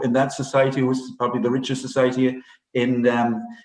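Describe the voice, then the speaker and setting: A man speaks in a Cork accent. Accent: Cork Irish. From Ireland, West Cork. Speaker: priest. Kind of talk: interview. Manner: halting.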